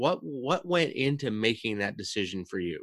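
In a very clean recording with a silent background, a man with a Canadian accent speaks in a normal speaking voice at a moderate pace and medium pitch. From Canada. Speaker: podcast host. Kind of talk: casual interview chat.

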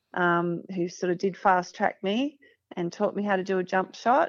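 Here a woman talks at a moderate pace with a medium pitch and ordinary pitch variation. The background is quiet. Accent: Australian. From country Victoria, Australia. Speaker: former Olympic basketball player. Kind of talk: interview.

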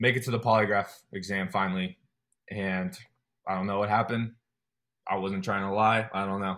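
A man with a General American accent at a fairly low pitch, fairly quick yet with long, frequent pauses, monotone and flat, on a very clean recording with a silent background. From Colorado. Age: 20s. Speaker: army special forces trainee. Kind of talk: casual interview.

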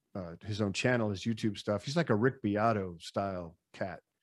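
At a moderate pace, a man speaks with a fairly low pitch in a very clean recording against a silent background. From Chicago. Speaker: musician, guitar player. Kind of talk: casual interview chat. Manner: animated.

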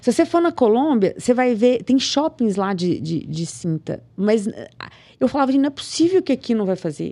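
At a moderate pace over a quiet background, the voice has a dark, mellow tone and very wide pitch swings. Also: woman, fairly high pitch for a woman. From Brazil, rural Minas Gerais. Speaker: physiotherapist and business owner. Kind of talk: interview. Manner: animated.

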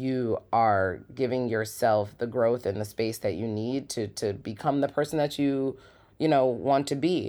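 A woman speaks at a fairly slow pace with a very deep, low pitch. Her tone is dark and mellow. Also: very clean recording, silent background. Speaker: podcast host and founder of a wellness community. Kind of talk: casual monologue. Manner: animated.

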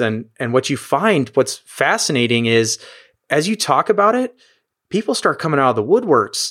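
Talking at a fairly quick pace, a man with an American accent has a normal speaking voice and lively intonation. The recording is very clean, with a silent background. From United States. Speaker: emergency physician. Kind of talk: interview conversation.

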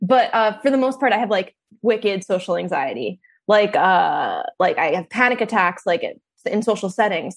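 Against a quiet background, a woman with a New Jersey accent speaks at a moderate pace, her fairly high pitch carrying lively intonation. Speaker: comedian. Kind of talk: casual chat.

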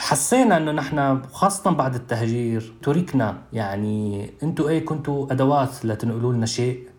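A medium-pitched man with a Damascus accent at a fairly slow pace, hardly any pauses and ordinary pitch variation, noticeable background noise. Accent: Damascene Syrian Arabic. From Syria, Douma (Eastern Ghouta). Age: 30s. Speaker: human rights activist. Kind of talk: testimony. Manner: halting.

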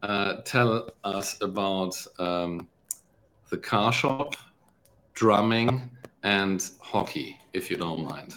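Ordinary pitch variation marks a man's fairly low voice. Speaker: podcast host. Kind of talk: casual interview conversation. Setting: video call.

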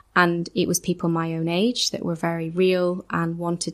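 The woman's pitch is fairly low, her intonation monotone and flat. She keeps a moderate pace. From Ireland. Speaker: church administrator. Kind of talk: testimony. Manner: hesitant, many fillers.

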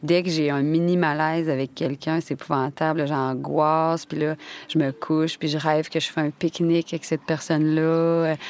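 A woman with a Quebec accent, very deep and low in pitch, flat and monotone, at a moderate pace, on a very clean recording with a silent background. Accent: Québécois French. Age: 30s. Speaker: actress and podcast narrator. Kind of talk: scripted narration. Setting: studio.

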